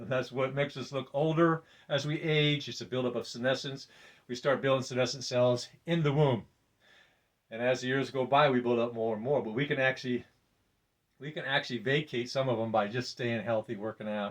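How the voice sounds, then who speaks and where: Intonation stays fairly even as the words come out at a fairly quick pace. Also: man, medium pitch for a man. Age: 60s. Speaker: fitness vlogger. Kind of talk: casual monologue. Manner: halting.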